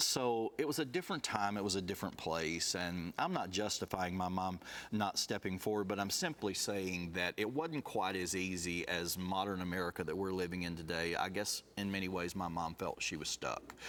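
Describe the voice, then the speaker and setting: A man in a Southern US accent, very deep and low, at a moderate pace with hardly any pauses, very even loudness and ordinary pitch variation, on a very clean recording with a silent background. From US South, rural Alabama. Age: 60s. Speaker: abuse survivor sharing his story. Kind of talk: testimony.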